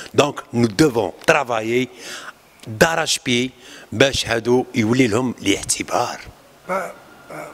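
A man talks at a very slow pace. Long, frequent pauses break up his speech. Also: ordinary pitch variation. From Algeria. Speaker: ciné-club organizer. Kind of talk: public talk at film screening. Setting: screening room with audience. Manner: halting. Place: hall. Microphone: handheld.

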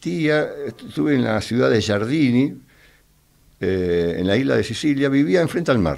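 A man speaks at a fairly slow pace. Behind him the background stays quiet. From Argentina, Quilmes (Buenos Aires); Buenos Aires, Argentina. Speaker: war veteran; interview guest. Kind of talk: interview testimony. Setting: radio studio. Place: studio. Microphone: studio mic.

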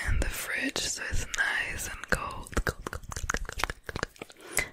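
A woman whispers at a very slow pace in a gentle tone. The sound is dry with no echo, but background noise is loud. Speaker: ASMR creator. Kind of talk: soft ASMR product chat. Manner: gentle intimate ASMR whisper. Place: home room. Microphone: studio mic.

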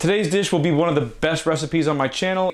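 A man at a very fast pace, with ordinary pitch variation, against a quiet background. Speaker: cooking channel host. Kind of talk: cooking tutorial intro. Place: kitchen.

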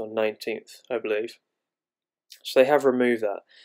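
Flat, monotone intonation from a man at a moderate pace, dry and close with no echo. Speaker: crypto YouTuber. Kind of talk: angry rant about a platform. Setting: screen recording video narration. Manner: indignant, complaining, with frequent fillers.

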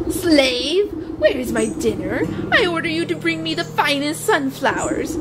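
Over loud background noise, a woman does a shrill, put-on character voice at a moderate pace. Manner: bossy, imperious.

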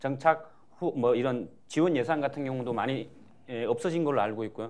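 A man talks at a very fast pace. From North Korea. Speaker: former soldier and defector; panelist. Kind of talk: panel testimony. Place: hall. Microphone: lapel.

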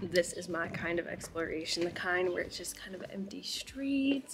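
Faint music plays behind a woman as she talks. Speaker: travel vlogger. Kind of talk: casual vlog chat. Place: street. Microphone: phone near.

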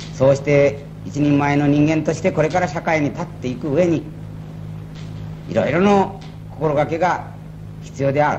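A man talks at a moderate pace with long, frequent pauses. Noticeable background noise runs under his speech. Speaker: company president. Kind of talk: ceremonial speech. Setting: old tape recording. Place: hall. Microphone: old recording.

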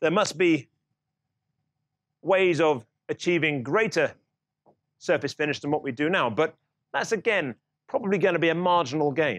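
Against a quiet background, a man talks at a moderate pace, leaving long, frequent pauses. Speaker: lecturer. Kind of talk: lecture. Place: classroom.

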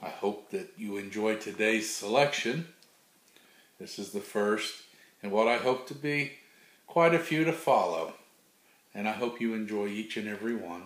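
A man speaks in a gentle, playful tone with lively intonation and big swings in loudness. Long, frequent pauses break up his speech, and room echo is audible. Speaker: grandfather reading children's books aloud. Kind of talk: bedtime storybook read-aloud for small children. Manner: gentle, unhurried grandfatherly reading with playful rhythmic repetition; warm, folksy sign-offs with a God bless. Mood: warm, playful. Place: home room. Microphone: webcam.

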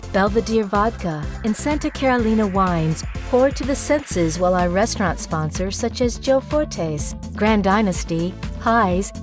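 A woman speaks at a fairly slow pace. There is music in the background. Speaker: voice actor. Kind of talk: promotional video voiceover, corporate narration.

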